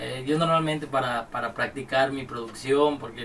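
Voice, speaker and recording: Against noticeable background noise, a man with a Mexican accent speaks at a medium pitch and a fairly quick pace. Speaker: music producer and studio owner. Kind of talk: casual chat. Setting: studio.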